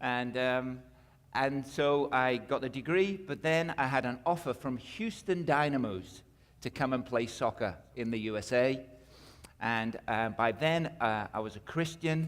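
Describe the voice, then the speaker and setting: A man with a British accent at a medium pitch, ordinary pitch variation and a fairly slow pace, on a very clean recording with a silent background. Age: 50s. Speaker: missionary and minister. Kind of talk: testimony.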